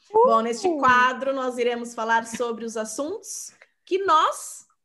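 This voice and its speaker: A woman's raised, projected voice, high in pitch, at a fairly slow pace with lively intonation. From Sorocaba, São Paulo state, Brazil. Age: 30s. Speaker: podcast host, bilingualism content creator. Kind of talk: casual chat.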